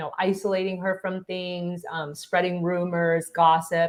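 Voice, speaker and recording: Against a quiet background, a woman with an ordinary speaking voice talks at a moderate pace at a fairly low pitch with fairly even intonation. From Taiwan, moved to US at nine. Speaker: clinical psychologist, professor and author. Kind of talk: interview.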